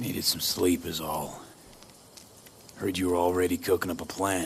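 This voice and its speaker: Over clear background noise, a man puts on a raspy character voice with a very deep, low pitch at a moderate pace. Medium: video game. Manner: blunt, terse.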